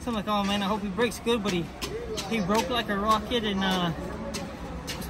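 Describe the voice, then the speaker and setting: A fairly quick pace against crowd noise in the background. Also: man. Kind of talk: interview answer. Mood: pleased, relaxed. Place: stadium. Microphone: phone near.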